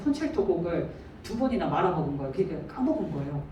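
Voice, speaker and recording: Amid noticeable background noise and audible room echo, a woman talks with very wide pitch swings. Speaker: church deacon sharing mission experience. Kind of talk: testimony. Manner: fast.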